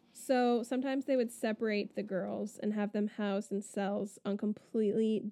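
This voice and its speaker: With an American accent and a normal speaking voice, a woman talks at a medium pitch and moderate pace, her intonation fairly even against a quiet background. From Florida. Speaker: podcast co-host. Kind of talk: storytelling; casual chat.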